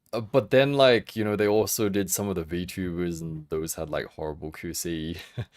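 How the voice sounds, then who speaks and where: A man with an Australian accent, a very deep, low pitch, ordinary pitch variation and a fairly slow pace, in a very clean recording with a silent background. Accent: Australian, read by a viewer as English. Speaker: figure collecting livestreamer. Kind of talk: livestream chat. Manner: halting, many fillers and restarts.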